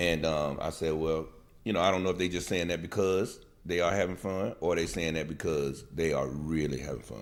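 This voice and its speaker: Audible room echo surrounds a man whose very deep, low voice moves at a fairly quick pace with ordinary pitch variation. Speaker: podcast co-host. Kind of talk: casual chat.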